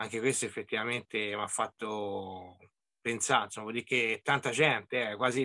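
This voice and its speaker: Over a quiet background, a man speaks at a moderate pace in a bright, sharp tone. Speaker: angler; presenter. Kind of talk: online meeting discussion. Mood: reflective, mildly surprised. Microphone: video call.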